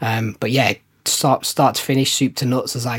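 At a moderate pace, a man with an English Midlands accent speaks with fairly even intonation. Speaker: brand strategist, agency owner. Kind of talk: casual chat.

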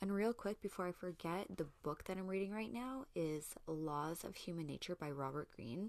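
A woman's ordinary speaking voice, fairly low in pitch, with lively intonation, a moderate pace and hardly any pauses. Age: 30s. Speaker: podcast host. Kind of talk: casual monologue.

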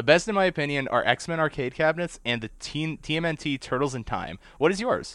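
A man speaks at a very fast pace in an animated tone, his pitch fairly high. His intonation is lively. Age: 20s. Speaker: podcast host. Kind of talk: casual chat.

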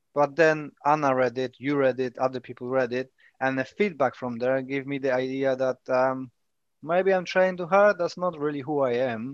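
A man with a Polish accent speaks at a moderate pace. The sound is dry and close with no echo, over a quiet background. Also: medium pitch for a man, ordinary pitch variation. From Poland. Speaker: self-published author, martial artist. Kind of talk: casual chat.

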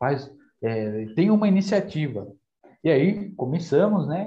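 With audible room echo, a man speaks in a dark, mellow tone that is somewhat breathy, his intonation lively. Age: 20s. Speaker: church community group leader. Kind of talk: casual faith conversation.

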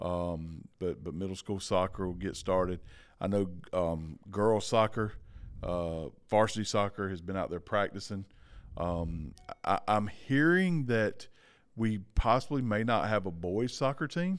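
At a fairly slow pace, a man speaks in a plain, everyday voice, fairly low in pitch with ordinary pitch variation. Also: very clean recording, silent background. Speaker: co-host.

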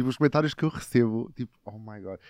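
A man's normal speaking voice at medium pitch, dry and close with no echo. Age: 20s. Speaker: actor and TikTok creator. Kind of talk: casual chat.

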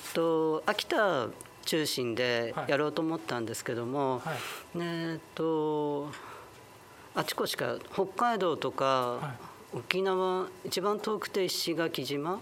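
Speaking very slowly, a man with a fairly high pitch uses lively intonation. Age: 50s. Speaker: LGBTQ advocacy group leader. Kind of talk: interview. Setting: community salon venue.

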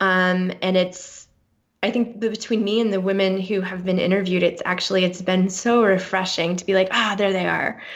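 A woman speaks at a moderate pace in a medium pitch. Her intonation is monotone and flat. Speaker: author and speaker. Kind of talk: interview. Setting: remote call. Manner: confident and joyful.

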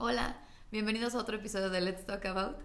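In a Mexican accent, a woman with a fairly high pitch speaks in an animated tone at a fairly quick pace, with audible room echo. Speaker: podcast host. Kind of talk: casual chat.

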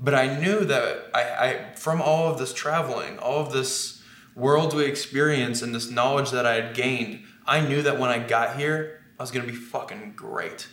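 Noticeable background noise runs under a man's voice. His pitch is fairly high, with ordinary variation. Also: moderate pace. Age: 20s. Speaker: book cover model. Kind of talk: casual chat.

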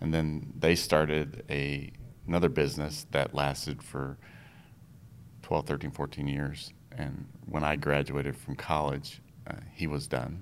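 Very deep and low, a man's voice carries vocal fry and monotone, flat intonation at a fairly slow pace. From Minnesota (upper Midwest), born in Iowa. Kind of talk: casual interview chat.

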